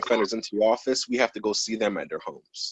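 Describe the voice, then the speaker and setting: Fairly quick delivery with a New Jersey accent, fairly even intonation and a dry, close sound with no echo. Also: man. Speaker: probation officer. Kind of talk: interview. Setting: video call.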